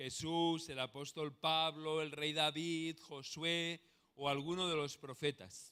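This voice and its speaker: A man speaks with a Spanish accent at a fairly high pitch. His tone is bright and sharp, and the recording is very clean with a silent background. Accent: Spanish (Spain). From Spain. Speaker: pastor. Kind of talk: sermon.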